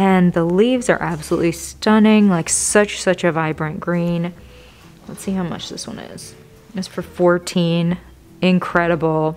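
A woman at a fairly slow pace, fairly even in intonation, with music in the background. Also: fairly low pitch for a woman. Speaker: plant vlogger. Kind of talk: casual vlog chat. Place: shop.

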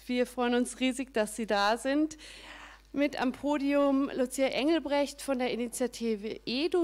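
Her pace moderate, a woman talks with ordinary pitch variation. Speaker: event host. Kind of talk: event welcome speech.

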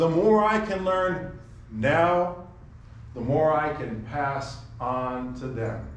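With audible room echo around him, a man with a fairly high pitch speaks very slowly and with lively intonation. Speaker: preacher. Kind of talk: sermon. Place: church. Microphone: camera far.

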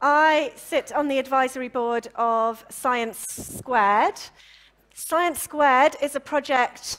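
Against a quiet background, a woman with a Welsh accent speaks very slowly at a high pitch. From Wales. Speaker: session chair and science communicator; panel moderator. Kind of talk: panel moderation. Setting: conference stage with audience. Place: hall. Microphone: handheld.

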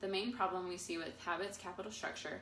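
A woman talks at a fairly quick pace with ordinary pitch variation. There is light background noise and audible room echo. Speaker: presenter. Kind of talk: class presentation. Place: meeting room. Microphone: camera far.

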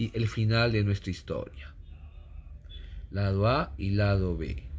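A man speaks at a fairly slow pace with a fairly low pitch. His voice is somewhat breathy. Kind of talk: casual collection showcase commentary. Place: home room. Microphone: phone near.

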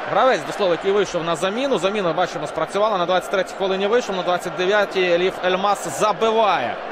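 Against noticeable background noise, a man talks in a high pitch at a fairly quick pace, his tone animated and his loudness very even, with hardly any pauses. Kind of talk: sports match highlights commentary. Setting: voiceover over match footage. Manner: brisk, animated play-by-play narration.

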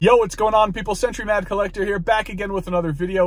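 The recording of this man is dry, carrying no echo at all. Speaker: toy collector vlogger. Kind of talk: casual vlog chat. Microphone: phone near.

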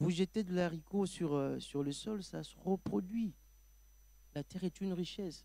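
With a dark, mellow tone and a high pitch for a man, a man speaks fairly slowly with long, frequent pauses and ordinary pitch variation, in a dry sound with no echo. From DR Congo. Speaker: pastor. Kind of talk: panel discussion. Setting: studio. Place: stage. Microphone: handheld.

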